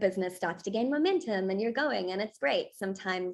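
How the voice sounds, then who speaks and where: A woman talks at a very fast pace in a South African accent. Her pitch sits in the medium range. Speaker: accent coach. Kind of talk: self-introduction pitch on video call.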